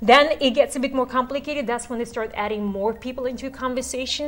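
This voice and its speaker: A high-pitched woman with a non-native accent speaks with fairly even intonation over noticeable background noise. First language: not English. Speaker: real estate course instructor. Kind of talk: instructional talk. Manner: conversational.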